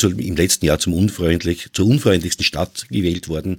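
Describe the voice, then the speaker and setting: The recording is very clean, with a silent background. A man speaks at a moderate pace in a very deep, low pitch with vocal fry. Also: dry, close sound with no echo. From Vienna, Austria. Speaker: podcaster. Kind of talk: casual chat.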